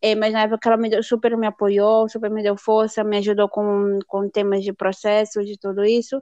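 A woman speaks at a moderate pace in a monotone, flat delivery with a dark, mellow tone. The sound is dry and close with no echo, and the background is quiet. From Northeast Brazil, Fortaleza. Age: 30s. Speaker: au pair. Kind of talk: interview. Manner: halting.

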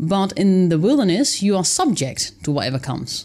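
A woman with a Dutch accent at a moderate pace. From Netherlands. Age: 30s. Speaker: author and wilderness dweller. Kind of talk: interview. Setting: studio.

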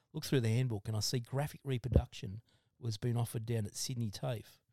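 A man with an Australian accent, medium pitch, dark, mellow tone, ordinary pitch variation and fairly quick pace, in a very clean recording with a silent background and a dry, close sound with no echo. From Australia, Blue Mountains NSW. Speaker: podcast guest, former machinist and drummer. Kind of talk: casual chat.

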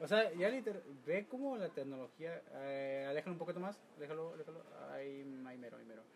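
Lively intonation from a fairly high-pitched man at a moderate pace, with big swings in loudness. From Mexico. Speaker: podcast host. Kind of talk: casual chat. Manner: animated.

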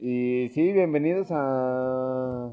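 A man speaks in a plain, everyday voice. His pitch is fairly high, with ordinary variation. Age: 30s. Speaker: podcast host. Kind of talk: casual chat.

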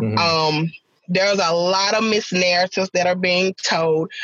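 A woman with a normal speaking voice talks at a fairly low pitch and a moderate pace, her intonation fairly even, in a dry, close sound with no echo. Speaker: parent advocate.

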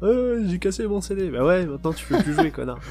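A man at a fairly quick pace with music in the background. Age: 20s. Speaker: gaming podcast host. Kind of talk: casual chat.

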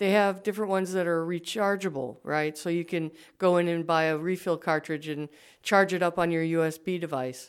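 A woman with an unremarkable speaking voice, fairly low in pitch, talks at a fairly quick pace with fairly even intonation on a very clean recording with a silent background. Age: 60s. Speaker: writer. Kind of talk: interview.

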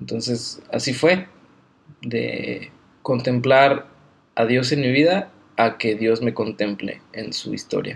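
With vocal fry and a medium pitch, a man speaks very slowly, leaving long, frequent pauses, and his pitch varies in an ordinary way. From Mexico, Guadalajara. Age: 20s. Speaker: Bible college student. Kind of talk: casual interview. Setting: Bible college campus.

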